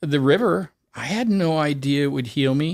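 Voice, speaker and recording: A man with a US West Coast accent speaks at a fairly high pitch with ordinary pitch variation, the sound dry and close with no echo on a very clean recording with a silent background. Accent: US West Coast American. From US, Oregon. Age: 60s. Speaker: cancer survivor and distance swimmer. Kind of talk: interview conversation.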